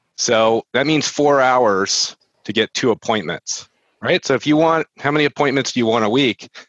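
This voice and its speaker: An ordinary speaking voice delivered at a moderate pace with ordinary pitch variation and very even loudness. The sound is dry and close with no echo, over a quiet background. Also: man, medium pitch for a man. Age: 40s. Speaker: real estate marketing entrepreneur. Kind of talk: casual interview chat. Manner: conversational with filler words.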